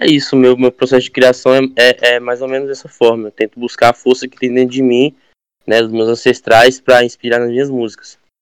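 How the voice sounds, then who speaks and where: Talking at a fairly quick pace, a man keeps a medium pitch and a monotone, flat intonation. The recording is dry and close, with no echo. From Brazil, Arraias, Tocantins. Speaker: singer-songwriter. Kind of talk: casual chat.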